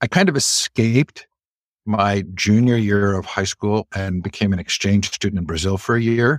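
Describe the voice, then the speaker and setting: This man has an unremarkable speaking voice, fairly low in pitch with ordinary pitch variation, recorded very cleanly against a silent background in a dry, close sound with no echo. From California, Stanford area. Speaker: education organizer and interview host. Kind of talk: interview conversation.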